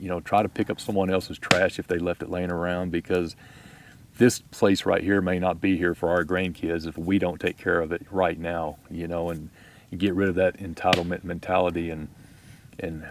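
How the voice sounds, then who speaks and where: This man's voice sits very deep and low, delivered in a flat monotone at a moderate pace. The recording is very clean, with a silent background. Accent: Texas. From Texas. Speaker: outdoor YouTuber. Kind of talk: casual chat. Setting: outdoors.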